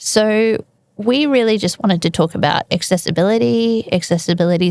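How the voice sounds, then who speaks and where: A woman at a medium pitch with an Australian accent, in a dry, close sound with no echo. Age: 40s. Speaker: podcast host. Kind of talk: casual interview chat.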